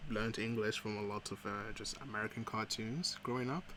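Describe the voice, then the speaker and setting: Speaking at a moderate pace, a man has a bright, sharp tone, medium pitch and ordinary pitch variation. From Ghana. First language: Fante. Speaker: digital artist streamer. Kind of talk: casual chat while drawing on stream. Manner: halting, many filler words.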